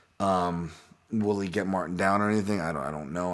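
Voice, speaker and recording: A man with a fairly low voice speaks at a very fast pace. His pitch varies in an ordinary way over a quiet background. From Hawaii. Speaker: MMA analyst and podcast host. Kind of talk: solo podcast fight breakdown. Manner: casual, many fillers and repetitions.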